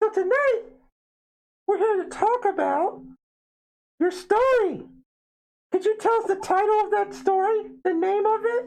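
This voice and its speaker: In a squeaky, put-on character voice with extremely high pitch, the speaker leaves long, frequent pauses. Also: moderate pace. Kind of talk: spooky show host. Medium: solo performance. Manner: amused, laughing.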